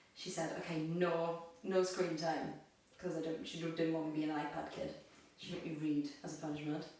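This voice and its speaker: A woman with a fairly low pitch speaks at a moderate pace in a monotone, flat way. Audible room echo and noticeable background noise surround her voice. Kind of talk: casual chat, personal testimony.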